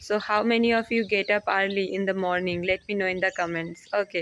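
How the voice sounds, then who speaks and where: A woman speaks with a Bengali accent. Her pitch is medium. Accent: Indian (Bengali) English. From India, West Bengal. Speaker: English learning vlogger. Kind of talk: casual vlog talk to camera. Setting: outdoors on a terrace, walking. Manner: halting, with fillers.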